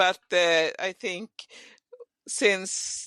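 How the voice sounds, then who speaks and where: A woman with a Swedish accent and fairly even intonation. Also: dry, close sound with no echo. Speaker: podcast host. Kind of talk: casual chat. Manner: halting.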